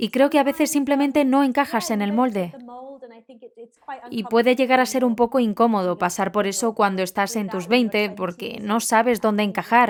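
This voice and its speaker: At a moderate pace, a woman with a fairly high pitch talks with ordinary pitch variation against noticeable background noise. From England. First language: English (speaking Spanish). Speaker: nonprofit founder. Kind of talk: casual chat.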